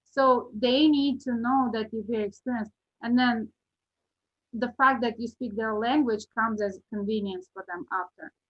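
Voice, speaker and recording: A woman speaks with a non-native accent. Her pace is moderate and her intonation fairly even. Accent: foreign. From Uzbekistan. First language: not English. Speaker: real estate agent. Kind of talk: podcast interview.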